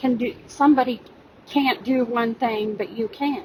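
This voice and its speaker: The woman's high voice, with ordinary pitch variation, moves at a moderate pace while noticeable background noise is heard. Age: 50s. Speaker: YouTube commentator. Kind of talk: personal rebuttal monologue. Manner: hesitant with fillers.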